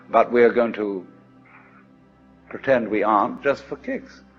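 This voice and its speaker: A man speaks at a moderate pace. Music plays in the background. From England, outside London. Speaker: philosopher and lecturer. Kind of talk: recorded philosophy lecture.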